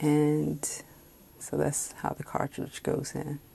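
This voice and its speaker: The speech comes at a very slow pace in a relaxed tone with an American accent. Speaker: fountain pen reviewer. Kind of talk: casual talk to camera. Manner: slow, relaxed.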